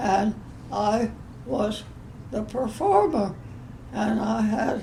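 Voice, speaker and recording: A woman with a fairly high pitch speaks very slowly with lively intonation, noticeable background noise behind her. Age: 80s+. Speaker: modern dancer. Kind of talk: interview answer.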